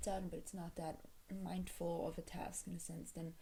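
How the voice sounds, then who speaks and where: Soft-spoken, this voice moves at a moderate speed. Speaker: video creator, vlogger. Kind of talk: casual talk to camera. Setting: at home, early morning. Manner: halting, many fillers.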